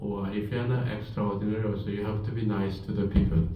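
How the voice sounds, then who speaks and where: With noticeable background noise and audible room echo, a man speaks with a Korean accent. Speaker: professor. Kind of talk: lecture.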